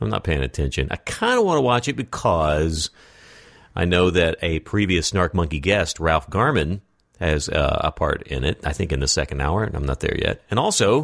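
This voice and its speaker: A man talks with a very deep, low pitch and vocal fry. His pitch swings very widely. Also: very clean recording, silent background. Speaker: podcast host. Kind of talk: casual interview chat. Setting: studio. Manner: casual, chatty.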